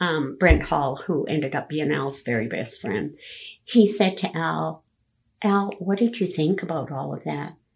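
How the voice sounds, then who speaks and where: A woman with a Canadian accent talks at a moderate pace. Her intonation is lively, and vocal fry comes through. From Alberta, Canada. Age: 70s. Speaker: grandmother interviewed about her life. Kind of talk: family oral history interview.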